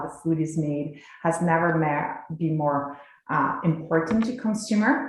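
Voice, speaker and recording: With a slight French accent, a woman speaks fairly slowly at a fairly low pitch, with audible room echo and noticeable background noise. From France, rural village. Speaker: cheesemaker and dairy company representative. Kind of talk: presentation to a legislative committee. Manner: hesitant, many fillers.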